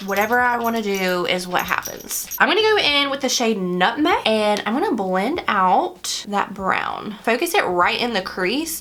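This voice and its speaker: A woman with an American accent speaks at a fairly high pitch and moderate pace, with lively intonation and hardly any pauses. Noticeable background noise and audible room echo fill the recording. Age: 30s. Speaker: beauty vlogger. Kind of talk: makeup tutorial. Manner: casual, chatty.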